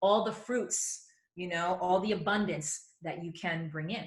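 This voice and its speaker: A woman speaks at a moderate pace. Her tone is animated and her intonation lively. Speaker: yoga teacher, wellness expert. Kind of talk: interview, advice. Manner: loud.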